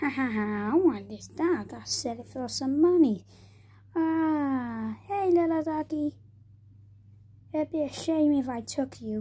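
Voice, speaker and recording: A put-on, cackling character voice sounds female and high in pitch for a woman. It goes at a fairly slow pace with long, frequent pauses. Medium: puppet show. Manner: sly, mock-evil cackling.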